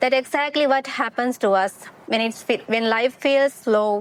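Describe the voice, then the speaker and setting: Here a woman with a non-native accent speaks at a fairly slow pace. Her pitch is fairly high and her intonation fairly even. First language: not English. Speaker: motivational podcaster. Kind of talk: casual monologue. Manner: halting.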